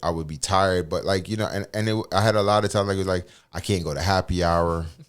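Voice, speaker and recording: With a Jamaican accent, a man talks very fast in a very deep, low voice with fairly even intonation, recorded very cleanly against a silent background. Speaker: lawyer and business founder. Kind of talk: interview conversation. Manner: halting, many fillers.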